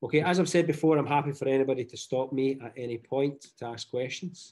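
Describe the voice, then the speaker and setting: A man with a Scottish accent, fairly high-pitched, with a dark, mellow tone, ordinary pitch variation and a moderate pace. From Scotland, Glasgow. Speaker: teacher. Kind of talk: webinar presentation.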